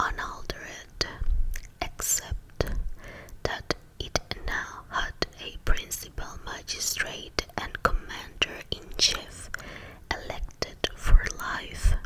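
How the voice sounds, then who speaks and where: Whispering at a very slow pace, a woman leaves long, frequent pauses, her loudness swinging widely over noticeable background noise. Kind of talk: whispered reading of history text for relaxation. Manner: whispered, soft.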